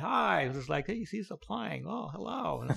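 A man speaks with very wide pitch swings. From Philippines. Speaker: animation director and story artist. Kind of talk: interview. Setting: studio, in person.

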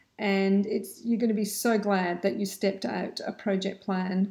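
A dark, mellow tone marked by vocal fry. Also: woman. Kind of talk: casual advice vlog. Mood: friendly, calm. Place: home room. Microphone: webcam.

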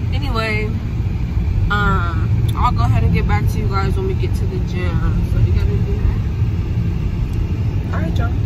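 A woman talks at a fairly slow pace over loud background noise, the sound dry with no echo. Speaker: vlogger. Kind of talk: casual vlog chat. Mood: mildly upset after gym. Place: car. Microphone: phone near.

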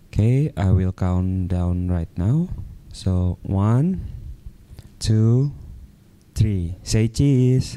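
A man with an Indonesian accent and a dark, mellow tone, very slow pace, long and frequent pauses. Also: fairly low pitch for a man, ordinary pitch variation. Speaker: event MC. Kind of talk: formal event hosting. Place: studio. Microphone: handheld.

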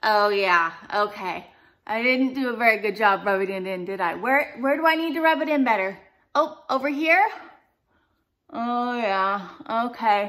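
Over a quiet background, a woman with a bright, sharp tone speaks at a moderate pace, leaving long, frequent pauses. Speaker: teacher. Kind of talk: playful lesson talk to children. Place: kitchen. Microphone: phone near.

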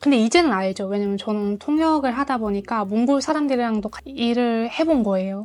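A woman with fairly high pitch and lively intonation, at a moderate pace in a Mongolian accent. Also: hardly any pauses. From Mongolia, Ulaanbaatar. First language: Mongolian (speaking Korean). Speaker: freelance interpreter. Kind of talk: interview.

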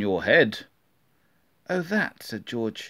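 Against a quiet background, a man with a British accent talks at a fairly slow pace. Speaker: storybook reader. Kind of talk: children's book reading. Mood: calm, spooky story tone. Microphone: phone near.

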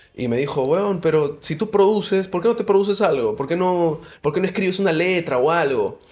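A man talks at a high pitch with ordinary pitch variation. His pace is fairly quick, with hardly any pauses. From Peru. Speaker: musician and DJ; guest. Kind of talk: casual interview. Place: studio. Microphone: studio mic.

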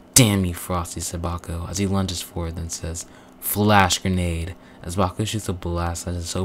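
A man with a very deep, low pitch speaks in a monotone, flat intonation. Noticeable background noise runs behind him. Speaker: YouTuber narrating fan fiction. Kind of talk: scripted narration. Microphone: new better mic.

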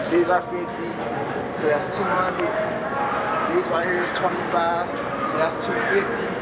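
Against loud background noise, a man speaks with ordinary pitch variation. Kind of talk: casual banter. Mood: playful, competitive. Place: gym. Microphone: phone near.

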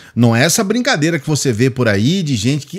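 A man with a Brazilian accent speaks at a moderate pace with lively intonation against a quiet background. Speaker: YouTube political commentator. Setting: home video studio, direct to camera. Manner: indignant, heated and emphatic, with harsh, accusatory delivery; forceful, hammering conclusions, charged with contempt. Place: home room. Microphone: studio mic.

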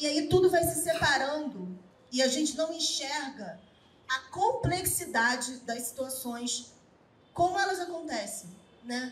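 A high-pitched female voice at a fairly slow pace, with audible room echo. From Brazil, Rio de Janeiro. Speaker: university professor and researcher; speaker. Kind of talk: panel talk at book launch. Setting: live event with audience. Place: hall. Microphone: handheld.

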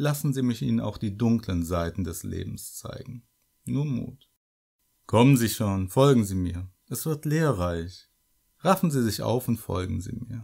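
The tone is sinister and theatrical, dark and mellow, with lively intonation. The voice is somewhat breathy. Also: man, medium pitch for a man. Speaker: shopkeeper character narrator. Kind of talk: scripted horror shopkeeper monologue, creepy storytelling addressed to the listener. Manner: smooth, sinister politeness, slow and theatrical, with mock-friendly menace.

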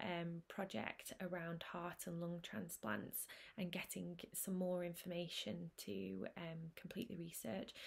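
At a fairly slow pace, a woman talks with a somewhat breathy sound. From Manchester, northern England; northern England. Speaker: speech and language therapist. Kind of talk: prepared presentation. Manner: hesitant, frequent um fillers. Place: home room. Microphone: webcam.

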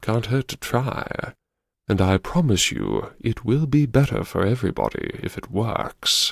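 A theatrical, weary tone with vocal fry at a fairly slow pace, in a very clean recording with a silent background. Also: man. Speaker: audiobook narrator. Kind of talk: scripted first-person audiobook narration, dramatic and darkly witty. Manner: wry, theatrical, ironic, posh and world-weary; dramatic, slow-building narration with sighs and laughs.

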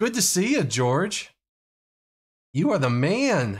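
A man at a moderate pace, his pitch swinging very widely, over a quiet background. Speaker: live stream host. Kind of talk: casual live stream chat.

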